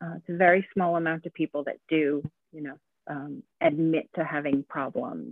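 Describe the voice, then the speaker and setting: Speaking with an American accent, a woman has a normal speaking voice, a fairly low pitch and a moderate pace. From United States. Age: 40s. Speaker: artist. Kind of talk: interview conversation.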